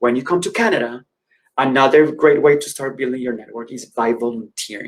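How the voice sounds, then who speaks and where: Speaking at a fairly quick pace, a man talks with a Spanish accent. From Colombia. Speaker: educator and career speaker. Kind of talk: conference presentation. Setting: virtual conference.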